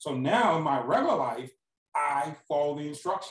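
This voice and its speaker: A man with an American accent and a fairly high pitch speaks at a moderate pace, sounding somewhat breathy. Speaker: former prisoner turned speaker. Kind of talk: interview.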